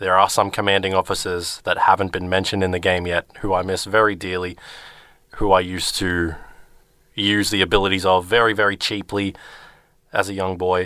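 On a very clean recording with a silent background, a man with an Australian accent and a very deep, low pitch speaks in a bright, sharp tone, fairly quickly yet with long, frequent pauses, in a monotone, flat intonation. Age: 20s. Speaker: returning radio co-presenter, video game fan. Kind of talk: casual chat on a radio show. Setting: radio studio. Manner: hesitant, many fillers and restarts.

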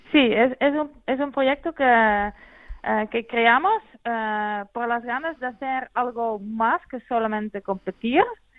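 A woman with a Dutch accent speaks at a very slow pace, with hardly any pauses. Her pitch is fairly high, with ordinary variation. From Netherlands. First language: Dutch (speaking Spanish). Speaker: mountain runner, world champion. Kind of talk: interview. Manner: halting.

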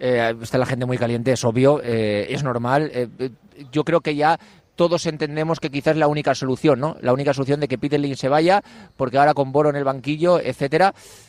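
A man talks at a fairly quick pace with a fairly high pitch and ordinary pitch variation. He has a plain, everyday voice. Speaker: sports radio host. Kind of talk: live radio show. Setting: outdoors outside club offices.

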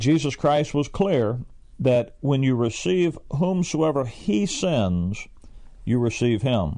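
In a Southern US accent, a man speaks at a very slow pace and medium pitch with a dark, mellow tone, lively intonation and very even loudness against a quiet background. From US South. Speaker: Bible teacher. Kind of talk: radio Bible teaching. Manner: plain, direct.

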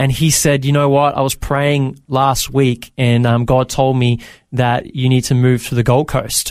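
A man's medium-pitched voice with an Australian accent, monotone and flat, very even in loudness, at a fairly slow pace. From Australia (Victoria, Bendigo/Maryborough). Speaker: entrepreneur and former youth pastor. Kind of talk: interview testimony. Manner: casual with frequent fillers.

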